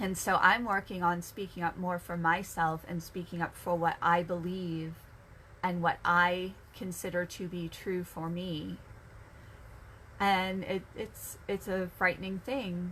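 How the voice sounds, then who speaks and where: A woman's fairly low voice in a monotone, flat delivery at a fairly slow pace. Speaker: energy healer. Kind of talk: casual talk on chakras, originally a live stream. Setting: home office, video live stream. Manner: hesitant, many fillers and restarts.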